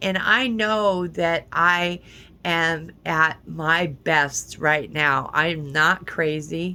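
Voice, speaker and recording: Recorded very cleanly against a silent background, a woman with a fairly low pitch and a bright, sharp tone talks at a very slow pace with ordinary pitch variation. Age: 60s. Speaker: vlogger, former adult protection worker. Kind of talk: personal vlog monologue. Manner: halting, many repetitions.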